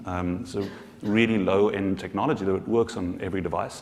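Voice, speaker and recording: A man speaks with a South African accent at a fairly low pitch. His pitch varies in an ordinary way, and audible room echo surrounds him. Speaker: social enterprise founder. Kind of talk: conference panel discussion. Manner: halting, many repetitions.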